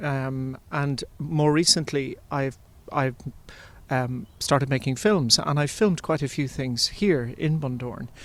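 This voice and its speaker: A man with an Irish accent, fairly high in pitch, at a fairly slow pace, on a very clean recording with a silent background. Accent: flat Irish. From Ireland. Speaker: composer. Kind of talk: interview. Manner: halting.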